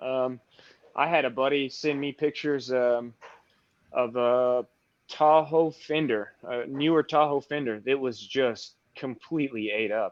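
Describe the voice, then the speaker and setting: A man talks with a Texan accent at a fairly slow pace. His pitch is medium and his intonation fairly even. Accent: Texan US Southern. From Texas. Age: 30s. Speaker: paintless dent repair technician. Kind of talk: casual interview.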